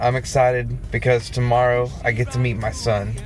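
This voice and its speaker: A man's voice, dry with no echo, over faint background music. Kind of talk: casual vlog chat. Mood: excited, emotional, reflective. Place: car. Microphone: phone near.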